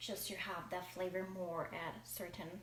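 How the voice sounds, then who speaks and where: There is audible room echo as a woman speaks at a fairly low pitch with vocal fry. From Germany. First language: German. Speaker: home cooking vlogger. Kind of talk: cooking tutorial. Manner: halting.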